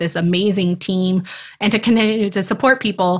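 A woman speaks in an ordinary speaking voice at a medium pitch and moderate pace, with ordinary pitch variation, on a very clean recording with a silent background. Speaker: teacher career coach. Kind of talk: casual interview chat.

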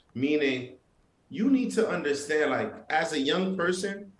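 A man talks fairly slowly in a space with audible room echo. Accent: New York. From Brooklyn, New York, Haitian family. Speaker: entrepreneur and father. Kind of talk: casual interview chat.

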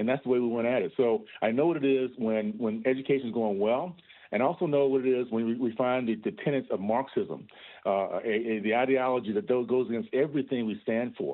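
This man has a normal speaking voice at a medium pitch, with ordinary pitch variation. His pace is fairly quick. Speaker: congressman. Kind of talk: radio interview.

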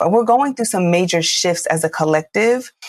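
Dry and close with no echo, a woman talks at a fairly quick pace in a normal speaking voice. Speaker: podcast host. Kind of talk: casual chat.

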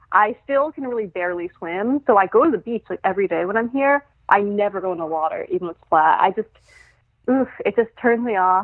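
This is a plain, everyday voice from a woman at a medium pitch. She speaks at a fairly quick pace. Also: lively intonation. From New York City (Brooklyn). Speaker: returning podcast guest, song analyst. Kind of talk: casual chat.

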